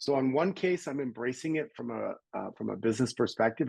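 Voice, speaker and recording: A man talks at a fairly quick pace, the sound dry and close with no echo. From Canada. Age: 60s. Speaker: personal development coach and entrepreneur. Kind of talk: interview.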